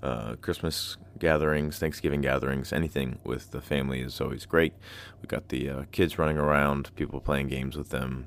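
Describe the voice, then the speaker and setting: A man speaks fairly quickly in a very deep, low voice with vocal fry and monotone, flat intonation. The recording is very clean, with a silent background. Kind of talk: casual solo podcast talk with poetry reading. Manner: casual, with frequent filler words.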